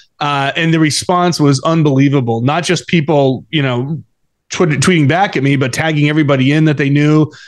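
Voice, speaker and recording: Delivered at a fairly quick pace with fairly even intonation, this is a plain, everyday voice. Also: man. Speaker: golf journalist. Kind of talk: interview.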